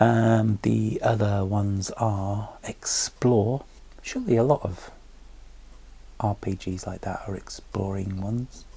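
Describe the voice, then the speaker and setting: A man's fairly low pitch and dark, mellow tone, somewhat breathy, at a very slow pace with monotone, flat intonation. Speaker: tabletop gaming vlogger. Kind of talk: casual vlog monologue. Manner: hesitant, with frequent ums.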